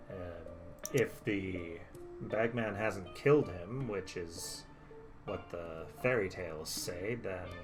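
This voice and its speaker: Using a put-on character voice, a man speaks fairly slowly at a very deep, low pitch with long, frequent pauses as clear music plays in the background. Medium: actual play. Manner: reflective, measured.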